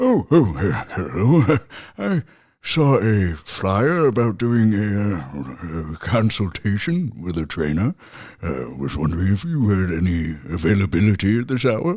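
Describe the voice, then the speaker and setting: Using a put-on character voice at a fairly low pitch, a man speaks fairly slowly with very wide pitch swings on a very clean recording with a silent background. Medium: audio drama. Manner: polite, mild.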